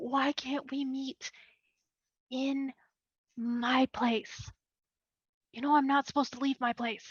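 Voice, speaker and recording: A woman puts on a whiny, high-pitched character voice with monotone, flat intonation. She goes at a fairly slow pace with long, frequent pauses. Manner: whining, pleading.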